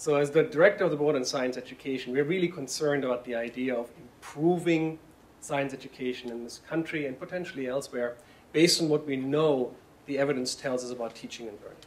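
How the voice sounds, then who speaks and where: A man with a German accent talks at a very fast pace and fairly high pitch. His pitch varies in an ordinary way, while his loudness swings widely. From Germany. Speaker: science education director. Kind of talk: panel presentation.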